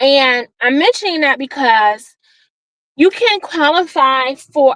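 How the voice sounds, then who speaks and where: Loud, very slow speech with lively intonation and a dry, close sound with no echo. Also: woman. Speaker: vlogger giving a driving tour. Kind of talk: casual vlog narration while driving. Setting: in a car.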